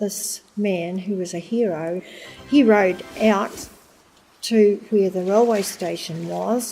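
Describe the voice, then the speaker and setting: Noticeable background noise surrounds a woman with a New Zealand accent. Her medium-pitched voice moves at a very slow pace. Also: fairly even intonation. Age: 80s+. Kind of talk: documentary interview, personal recollection.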